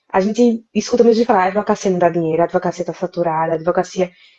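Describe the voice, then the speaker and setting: A woman at a very fast pace with lively intonation. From Brazil, interior of Pernambuco. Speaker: lawyer. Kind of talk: live interview.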